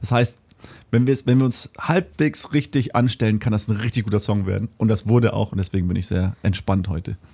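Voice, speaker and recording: A man with a fairly low pitch, a dark, mellow tone and a somewhat breathy quality, at a fairly quick pace with ordinary pitch variation. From Namibia. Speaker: musician. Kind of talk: interview. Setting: studio.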